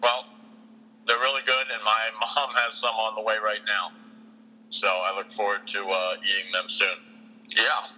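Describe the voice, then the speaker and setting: A man talks fairly slowly, with background noise noticeable throughout. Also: medium pitch for a man, fairly even intonation. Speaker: college radio show co-host. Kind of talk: casual chat.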